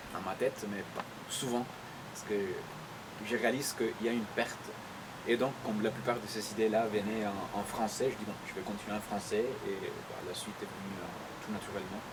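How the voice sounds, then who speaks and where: There is audible room echo and noticeable background noise around a man's fairly low voice. He speaks with fairly even intonation and long, frequent pauses. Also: fairly quick pace. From Chile. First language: Spanish (speaking French). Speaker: poet. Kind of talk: interview. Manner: hesitant, many fillers.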